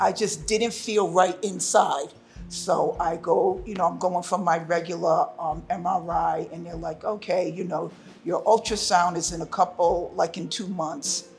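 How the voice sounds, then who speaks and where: A woman's loudness swings widely over music in the background. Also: fairly slow pace. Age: 60s. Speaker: breast cancer survivor. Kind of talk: personal testimony.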